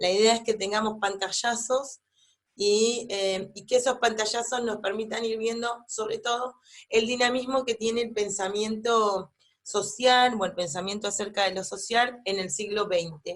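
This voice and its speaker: Fairly even intonation runs through a woman's fairly high voice. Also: fairly slow pace. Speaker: university lecturer. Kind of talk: lecture. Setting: pre-recorded online class at home. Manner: hesitant, many fillers.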